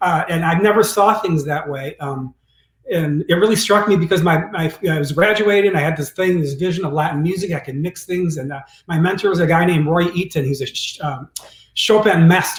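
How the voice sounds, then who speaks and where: A man speaks with an American accent, his pitch high for a man. His pace is fairly quick, and his pitch varies in an ordinary way. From US Midwest, Detroit. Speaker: pianist and recording artist. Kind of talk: interview conversation.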